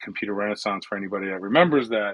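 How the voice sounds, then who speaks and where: Against a quiet background, a man speaks with a New York accent. His pitch is fairly low, with ordinary variation. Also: dry, close sound with no echo. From US Northeast, New York City (Bronx). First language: Italian. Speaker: cybersecurity executive. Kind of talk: interview conversation. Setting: online audio room.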